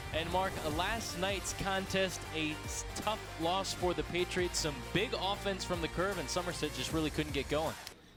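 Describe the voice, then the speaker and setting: With music in the background, a man speaks at a moderate pace and at a very even loudness. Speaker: sports host and reporter. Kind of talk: sports broadcast pregame open.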